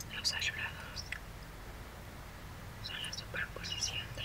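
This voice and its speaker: Speaking very slowly, a woman delivers her words. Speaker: visual artist. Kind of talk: ASMR drawing tutorial. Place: home room.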